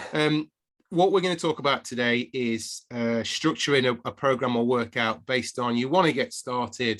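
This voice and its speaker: Speaking at a moderate pace with an English accent, the voice shows ordinary pitch variation. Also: man, medium pitch for a man. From England. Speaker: podcast co-host, fitness coach. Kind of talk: casual podcast chat.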